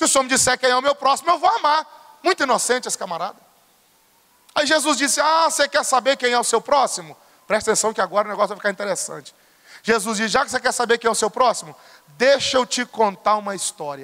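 A man with an extremely high pitch talks at a very fast pace in a raised, projected voice, his tone bright and sharp and his intonation lively. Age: 30s. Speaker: pastor. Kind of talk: sermon. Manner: animated.

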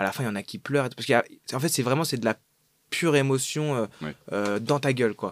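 Speaking fairly quickly, a man has an unremarkable speaking voice at medium pitch with lively intonation. The sound is dry and close, with no echo. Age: 20s. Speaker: actor. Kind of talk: casual chat.

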